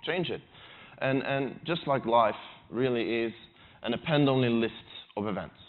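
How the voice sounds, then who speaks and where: This speaker has a Swedish accent. The pace is moderate. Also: man. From Sweden. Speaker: conference speaker. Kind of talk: conference talk. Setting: stage with audience. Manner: halting, with repeated words.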